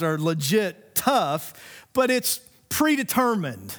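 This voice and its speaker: The recording is very clean, with a silent background. A man with a high pitch speaks using very wide pitch swings. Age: 50s. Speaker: pastor. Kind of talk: sermon. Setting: church.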